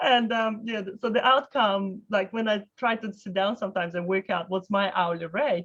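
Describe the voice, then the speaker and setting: A woman speaks at a moderate pace with hardly any pauses and a non-native accent. Her pitch is medium. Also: ordinary pitch variation. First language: not English. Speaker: mortgage broker hosting a webinar. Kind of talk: casual interview chat. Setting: webinar video call.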